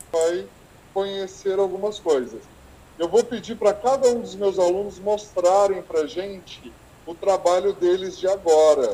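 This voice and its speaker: Pitched high, a man talks at a fairly slow pace. His pitch variation is ordinary. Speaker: teacher and researcher. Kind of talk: online lecture. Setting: video call from school. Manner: halting.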